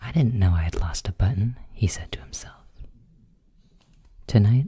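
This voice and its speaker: At a moderate pace, the speech comes out soft-spoken. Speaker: ASMR creator. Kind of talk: bedtime story reading.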